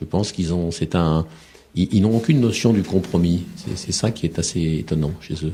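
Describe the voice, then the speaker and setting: Somewhat breathy and dark, mellow in tone, a man's very deep, low voice moves with ordinary pitch variation. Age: 50s. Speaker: war reporter and author. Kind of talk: radio interview. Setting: radio studio. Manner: halting, many repetitions.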